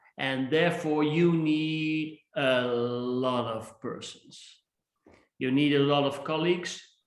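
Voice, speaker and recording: At a very slow pace, a man with a Dutch accent talks in a fairly high pitch with fairly even intonation, and audible room echo surrounds him. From Netherlands. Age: 60s. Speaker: innovation speaker and author. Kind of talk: interview.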